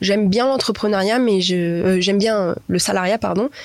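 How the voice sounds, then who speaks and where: A woman at medium pitch with ordinary pitch variation over noticeable background noise. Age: 20s. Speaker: pastry shop owner. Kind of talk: interview. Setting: cinema room.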